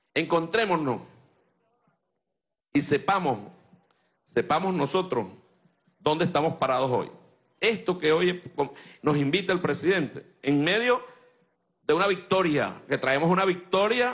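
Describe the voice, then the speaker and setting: A man with lively intonation at a fairly slow pace, with long, frequent pauses against a quiet background. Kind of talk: political speech. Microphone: podium.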